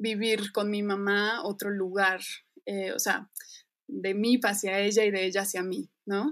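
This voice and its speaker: This woman's voice sits at a medium pitch with fairly even intonation. She speaks at a very slow pace. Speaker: dancer and choreographer. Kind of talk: interview conversation.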